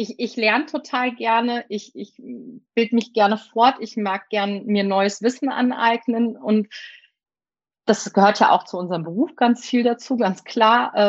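Against a quiet background, a woman speaks in a fairly high pitch. Her pace is fairly slow and her pitch variation ordinary. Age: 30s. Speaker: primary school teacher and teacher trainer. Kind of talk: interview. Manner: hesitant, many filler sounds.

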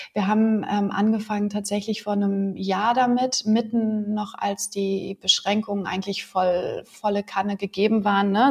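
A woman talks at a moderate pace with a medium pitch. Her voice is somewhat breathy and her intonation is monotone and flat. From Berlin. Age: 40s. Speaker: yoga teacher. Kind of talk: interview.

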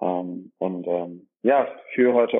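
Fairly even intonation marks this voice. It belongs to a man. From Germany, Dorsten (Ruhr area / Münsterland border). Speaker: dentist and practice owner. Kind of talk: interview. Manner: hesitant with many filler sounds.

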